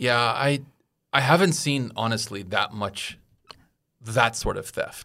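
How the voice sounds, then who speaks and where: On a very clean recording with a silent background, a man with an American accent speaks very slowly at a medium pitch in a bright, sharp tone, leaving long, frequent pauses. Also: ordinary pitch variation. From United States. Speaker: expat in Taiwan, podcast guest. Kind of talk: casual chat.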